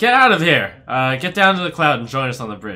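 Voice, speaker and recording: A gruff, put-on character voice shouts, raised and projected, at a fairly quick pace with very wide pitch swings. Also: man. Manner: shouting.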